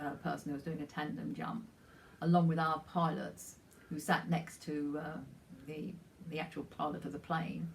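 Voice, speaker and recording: A woman with a very deep, low pitch and vocal fry speaks at a moderate pace with fairly even intonation amid audible room echo. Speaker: retired charity volunteer. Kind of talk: personal anecdote. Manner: halting.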